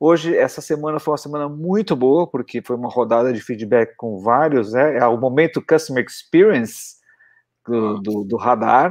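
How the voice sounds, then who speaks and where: Over a quiet background, a man speaks at a moderate pace in an unremarkable speaking voice at a medium pitch. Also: lively intonation. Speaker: podcast co-host. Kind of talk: casual chat.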